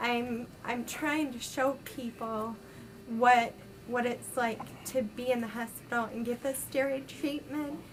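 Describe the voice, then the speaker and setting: A woman's high voice at a very slow pace, fairly even in intonation, with noticeable background noise. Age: 20s. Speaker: vlogger with multiple sclerosis. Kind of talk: casual video diary. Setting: hospital room. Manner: hesitant, many ums.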